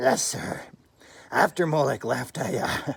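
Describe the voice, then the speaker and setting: In a put-on character voice, a man speaks raspy and at a fairly high pitch, keeping a fairly slow pace. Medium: read story. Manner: bumbling, stammering, giggling.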